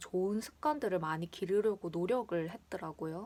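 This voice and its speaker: A woman's relaxed tone with ordinary pitch variation. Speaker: vlogger. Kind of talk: casual chat. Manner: relaxed, chatty.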